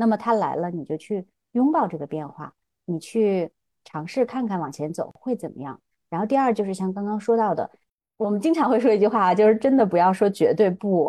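The tone is dark and mellow, with lively intonation and big swings in loudness at a fairly quick pace. The sound is dry and close with no echo, over a quiet background. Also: woman, medium pitch for a woman. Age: 40s. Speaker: former media professional turned entrepreneur. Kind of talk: casual interview conversation.

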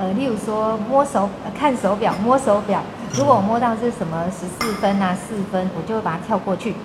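In a Taiwanese accent, a woman talks at a moderate pace with medium pitch and ordinary pitch variation, with noticeable background noise and audible room echo. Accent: Taiwanese Mandarin. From central Taiwan, rural. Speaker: blind trainer and traveler. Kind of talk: casual interview chat.

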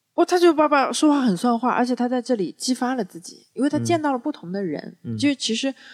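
Recorded with a dry, close sound and no echo, a woman speaks at a fairly quick pace in an animated tone. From Wuxi, Jiangsu. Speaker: public speaking coach. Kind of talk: casual chat.

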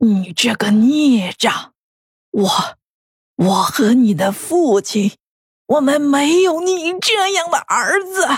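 Putting on a character voice, a woman speaks high with very wide pitch swings at a very slow pace, leaving long, frequent pauses. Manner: scolding, heartbroken.

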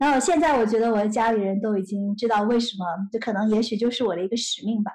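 The voice belongs to a woman, fairly high and somewhat breathy. Her pitch varies in an ordinary way. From mainland China, Nanjing then Shenzhen from age 8. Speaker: tech startup founder and CEO. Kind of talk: interview.

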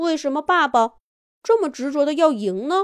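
Recorded very cleanly against a silent background, a woman speaks at a moderate pace with a high pitch and lively intonation.

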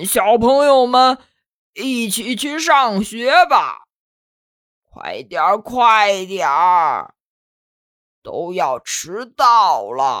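Using a put-on character voice, a woman speaks at medium pitch and a very slow pace with a fairly bright tone and big pitch swings, on a very clean recording with a silent background.

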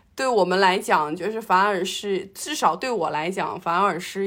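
A woman talks with an ordinary speaking voice, medium in pitch and with ordinary pitch variation, on a very clean recording with a silent background. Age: 30s. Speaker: podcast co-host, office worker. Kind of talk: casual chat.

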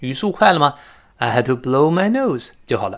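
A man's fairly high, bright, sharp voice with lively intonation at a moderate pace, on a very clean recording with a silent background. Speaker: English teacher. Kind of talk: lecture. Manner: animated.

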